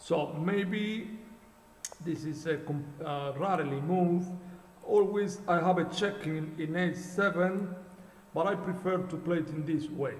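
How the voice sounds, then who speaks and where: A man with a Cuban accent speaks at a high pitch, fairly slowly and with fairly even intonation, amid audible room echo and noticeable background noise. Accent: non-native English, Cuban Spanish. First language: Spanish. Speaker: chess coach and streamer. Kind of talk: live game commentary. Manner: halting.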